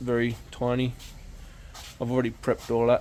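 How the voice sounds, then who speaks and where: A man speaks quietly at a moderate pace. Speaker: car restoration youtuber. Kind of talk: casual workshop vlog.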